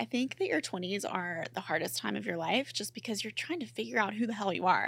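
In an American accent, a woman talks fairly quickly at a medium pitch with a bright, sharp tone, vocal fry and very wide pitch swings. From US South, Mississippi. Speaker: podcaster. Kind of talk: casual chat.

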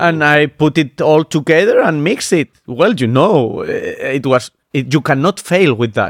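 Here is a plain, everyday voice with lively intonation at a moderate pace. The sound is dry and close, with no echo. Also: man, fairly high pitch for a man. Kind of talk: casual chat.

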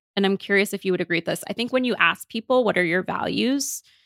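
A woman with a plain, everyday voice, medium pitch and ordinary pitch variation, in a dry, close sound with no echo. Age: 30s. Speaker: psychiatrist. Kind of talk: interview.

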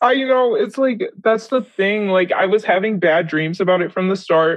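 A woman's plain, everyday voice, moderately paced, with ordinary pitch variation. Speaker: interview guest. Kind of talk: casual chat.

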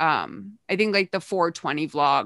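Against a quiet background, a woman with an American accent speaks at a fairly slow pace in a very deep, low voice with vocal fry. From Massachusetts. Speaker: podcast host. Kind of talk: casual chat.

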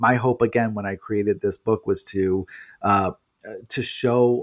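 A man with an American accent and a plain, everyday voice, at a fairly slow pace with fairly even intonation. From New York City. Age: 40s. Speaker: journalist and author. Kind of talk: casual interview. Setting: remote recording from apartment.

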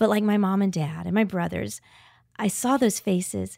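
On a very clean recording with a silent background, a woman with a normal speaking voice talks at medium pitch and a moderate pace. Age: 50s. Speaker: author and speaker. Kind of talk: casual chat.

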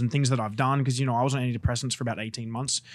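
A man with an Australian accent at a very fast pace, on a very clean recording with a silent background. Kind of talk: casual chat.

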